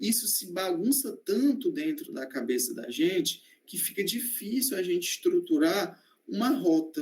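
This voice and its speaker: A man with a high voice speaks at a fairly slow pace. His pitch swings very widely and his loudness varies a lot. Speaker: medical student. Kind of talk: online presentation. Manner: hesitant, many fillers.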